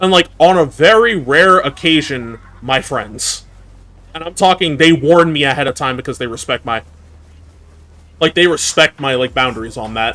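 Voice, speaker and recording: Over noticeable background noise, a man with an American accent and fairly high pitch speaks at a moderate pace with lively intonation and long, frequent pauses. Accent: New York accent, mostly hidden unless angry. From New York. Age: 20s. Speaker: VTuber streamer. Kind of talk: casual live-stream chat. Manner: animated, many fillers.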